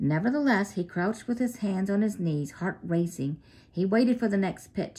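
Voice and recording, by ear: Natural-voiced reading aloud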